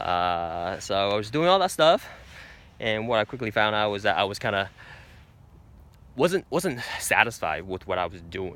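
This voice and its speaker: A man with a fairly low pitch and lively intonation speaks at a moderate pace, leaving long, frequent pauses. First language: not English. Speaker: vlogger. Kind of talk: casual vlog monologue. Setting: outdoors in nature. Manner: hesitant, many fillers.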